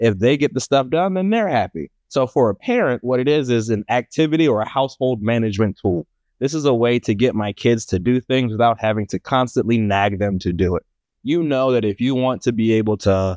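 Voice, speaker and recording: A man's normal speaking voice at a medium pitch with an American accent, fairly quick in pace with ordinary pitch variation, dry and close with no echo, over a quiet background. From Maryland, US. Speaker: startup co-founder, financial educator. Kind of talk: casual interview.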